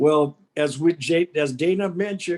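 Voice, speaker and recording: With an ordinary speaking voice, a man talks at a fairly slow pace, his fairly high pitch showing ordinary pitch variation. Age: 60s. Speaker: gang intervention mentor. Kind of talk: panel talk at public meeting.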